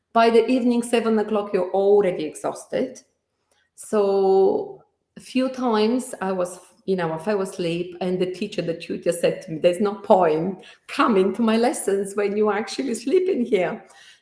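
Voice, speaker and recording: A woman's dark, mellow tone with a strong Bulgarian accent. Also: medium pitch for a woman, ordinary pitch variation, moderate pace. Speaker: entrepreneur. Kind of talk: interview. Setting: video call. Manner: halting.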